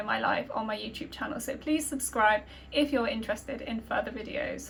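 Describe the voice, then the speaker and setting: At a fairly quick pace, a woman talks with a British accent. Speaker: YouTuber, university student. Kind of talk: casual Q&A chat. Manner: hesitant, many fillers.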